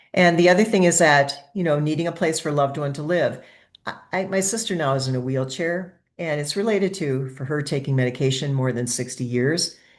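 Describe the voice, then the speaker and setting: Her pitch is very deep and low, with ordinary variation. The woman keeps a fairly quick pace. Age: 60s. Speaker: webinar presenter on mental health and aging. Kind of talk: webinar presentation. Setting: online webinar.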